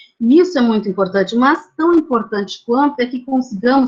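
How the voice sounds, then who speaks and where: A woman with a high pitch. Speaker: architect and university lecturer. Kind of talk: lecture. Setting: video call.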